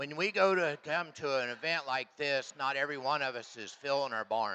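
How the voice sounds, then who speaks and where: A man's voice sits fairly high in pitch. Its tone is bright and sharp. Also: ordinary pitch variation, moderate pace. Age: 60s. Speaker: livestock show judge; hog farmer. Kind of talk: judge's reasons and closing remarks over PA. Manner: casual, halting with fillers.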